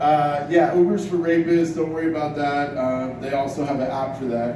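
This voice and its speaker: Fairly even intonation marks a man's speech, which carries audible room echo over noticeable background noise. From Iran. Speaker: stand-up comedian. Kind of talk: stand-up. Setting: bar stage with audience.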